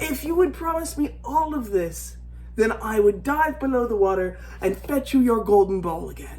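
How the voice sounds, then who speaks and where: Someone performs a put-on character voice at a fairly high pitch and a moderate pace. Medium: read story.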